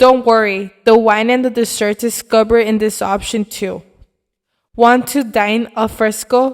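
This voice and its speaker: Her pitch sits fairly high. The woman's intonation is monotone and flat. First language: not Italian. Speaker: travel and food video narrator. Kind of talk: scripted narration.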